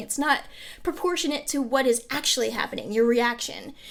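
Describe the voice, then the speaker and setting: A woman's animated, lively-intoned voice at a fairly quick pace. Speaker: mental health vlogger. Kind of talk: personal vlog monologue. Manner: fast.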